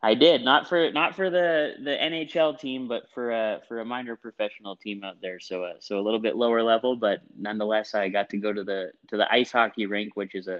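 Using a plain, everyday voice, a man with a Canadian accent speaks at a fairly low pitch and a fairly quick pace, with ordinary pitch variation. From Alberta, Canada (rural village). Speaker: sales professional. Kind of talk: casual interview. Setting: phone call. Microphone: clear line.

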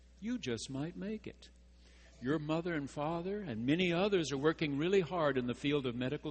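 A man speaks somewhat breathily with an American accent at a moderate pace. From Texas. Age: 60s. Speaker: pastor. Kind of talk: sermon.

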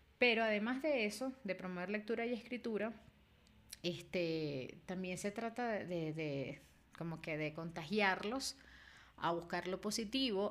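At a moderate pace, a woman talks with lively intonation and a medium pitch. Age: 30s. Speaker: book editor and podcast host. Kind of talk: casual monologue. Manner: frequent fillers and repetitions.

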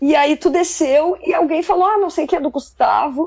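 A woman is speaking. Her pace is fairly slow. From Southern Brazil, Pelotas, Rio Grande do Sul. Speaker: musician, drummer. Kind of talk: casual interview chat.

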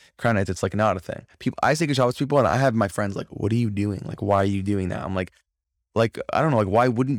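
With an American accent, an ordinary speaking voice comes through a very clean recording with a silent background, showing ordinary pitch variation. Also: man. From Florida. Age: young. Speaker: singer-songwriter. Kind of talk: casual interview.

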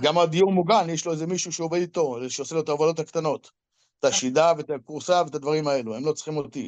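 His speech very fast, a man with a fairly high voice varies his pitch in an ordinary way. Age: 60s. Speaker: business owner in apartment clearing and cleaning. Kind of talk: interview. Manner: halting, repetitive.

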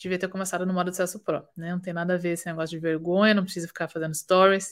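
In a very clean recording with a silent background, a woman with a fairly low pitch speaks at a very fast pace with monotone, flat intonation. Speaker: fashion business consultant and podcast host. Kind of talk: live stream Q&A and business teaching. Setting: live stream.

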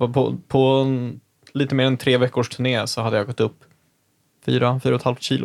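This man speaks at a moderate pace in a medium pitch, his intonation monotone and flat, broken by long, frequent pauses. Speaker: podcast host. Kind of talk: casual chat.

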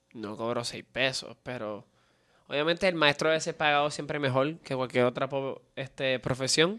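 A man with a Puerto Rican accent speaks at a moderate pace in a bright, sharp tone, fairly high in pitch with ordinary pitch variation, in a very clean recording with a silent background. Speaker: podcast co-host. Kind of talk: casual chat.

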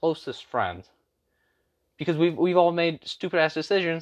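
The tone here is animated. A man speaks in a high pitch. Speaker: youtuber podcaster. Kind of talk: solo rant monologue. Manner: animated, rambling with repetitions.

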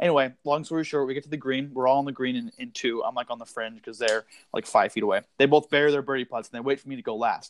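In an American accent, a man talks at a very fast pace and a fairly high pitch, with ordinary pitch variation, big swings in loudness and a dry, close sound with no echo. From Massachusetts, Needham. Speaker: podcast co-host. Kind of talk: casual chat.

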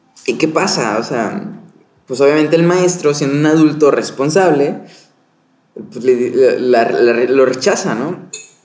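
A man's fairly high voice at a fairly slow pace, lively in intonation, with audible room echo. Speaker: podcast co-host, film crew worker. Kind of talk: casual film discussion chat. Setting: hotel room.

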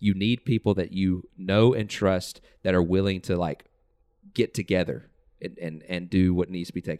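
Speaking at a moderate pace with fairly even intonation, a man with an American accent has a very deep, low pitch and a dark, mellow tone. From US South. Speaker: podcast host. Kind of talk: casual chat.

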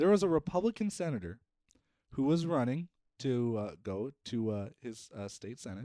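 At a moderate pace and medium pitch, a man with a slight Upper Midwest accent makes very wide pitch swings and big swings in loudness, his sound dry and close with no echo. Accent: Upper Midwest American, slight. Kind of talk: casual chat. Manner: animated.

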